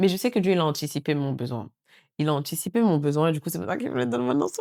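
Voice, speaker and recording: A woman speaks very fast in a very deep, low voice with a dark, mellow tone and very wide pitch swings, on a very clean recording with a silent background. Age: 30s. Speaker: lifestyle vlogger. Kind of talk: casual vlog talk to camera. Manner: hurried.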